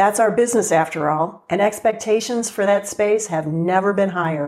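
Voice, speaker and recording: A woman speaks in a normal speaking voice at a medium pitch. Her pace is moderate and her pitch variation ordinary. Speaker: TV show host. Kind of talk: scripted intro and interview.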